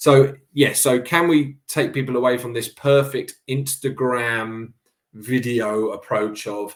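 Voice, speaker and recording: The speech comes at a very slow pace in a southern English accent. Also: man, medium pitch for a man. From England, Cambridge. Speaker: boxing coach. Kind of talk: interview conversation.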